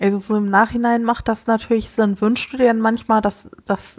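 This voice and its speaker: A woman speaks in a fairly high pitch. The sound is dry and close, with no echo. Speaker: podcast co-host. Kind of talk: casual chat. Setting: remote call.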